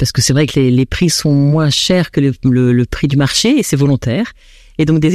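A woman with a dark, mellow tone speaks at a moderate pace with lively intonation. The recording is very clean with a silent background and a dry, close sound with no echo. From France. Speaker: association founder. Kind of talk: radio interview.

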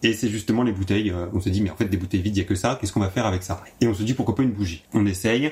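A man talks at a very fast pace in a fairly low pitch. His voice is somewhat breathy, with fairly even intonation. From Champagne region, France (Marne). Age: 20s. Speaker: artisan candle maker. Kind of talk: interview. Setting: workshop.

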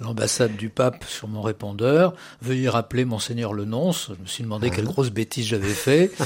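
Delivered at a fairly quick pace, an ordinary speaking voice carries ordinary pitch variation. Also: man, medium pitch for a man. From Paris, France. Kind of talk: radio interview. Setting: studio.

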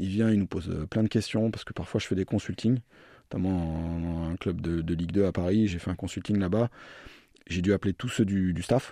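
A dark, mellow tone moves at a fairly quick pace with fairly even intonation, the sound dry and close with no echo on a very clean recording against a silent background. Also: man. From France, Orléans region. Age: 30s. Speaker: sports performance manager, physiotherapist. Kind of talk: radio interview. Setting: radio studio. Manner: hesitant, repeats words.

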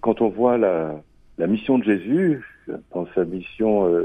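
With lively intonation, a man talks at a fairly slow pace and a medium pitch. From France, Loire. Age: 50s. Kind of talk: interview. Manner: halting, with repetitions.

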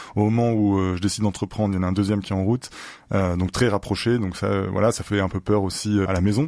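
Speaking very fast with fairly even intonation, a man with a fairly low pitch comes through on a very clean recording with a silent background. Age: 30s. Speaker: entrepreneur. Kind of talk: interview.

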